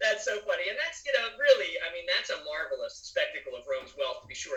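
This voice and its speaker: A man with a Philadelphia accent at a very fast pace, amid noticeable background noise. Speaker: podcast host. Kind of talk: casual chat.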